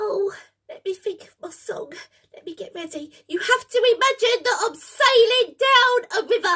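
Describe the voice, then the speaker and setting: An extremely high-pitched put-on character voice at a moderate pace. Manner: nervous, excitable.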